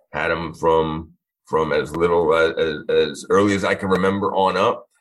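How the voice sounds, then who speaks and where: A man with an American accent talks at a very deep, low pitch. His pace is fairly slow and his intonation fairly even. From Long Island, New York. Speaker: police chief. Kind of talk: casual interview chat. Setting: studio.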